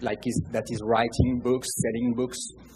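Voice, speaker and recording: A man speaks with a French accent. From France. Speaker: audience member. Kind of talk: audience question. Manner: halting.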